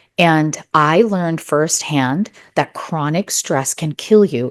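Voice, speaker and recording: A woman with a very deep, low voice speaks with ordinary pitch variation on a very clean recording with a silent background. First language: not English (English is third language). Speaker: neurologist and wellness expert. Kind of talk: interview testimony.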